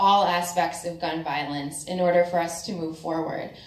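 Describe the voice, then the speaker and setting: A woman with an American accent speaks at a fairly low pitch, with audible room echo and noticeable background noise. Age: 20s. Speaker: activist speaker. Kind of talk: public speech at a forum.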